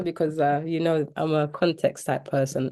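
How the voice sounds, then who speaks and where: With a London accent, a woman with a fairly low pitch and a dark, mellow tone speaks at a moderate pace. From East London, UK. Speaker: mentee, mother. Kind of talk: interview testimony.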